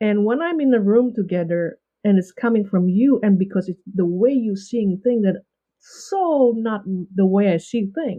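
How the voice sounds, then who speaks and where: This woman, with a non-native accent, speaks at a moderate pace in a medium pitch with ordinary pitch variation. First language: not English. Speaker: leadership coach and author. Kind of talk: podcast interview. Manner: halting.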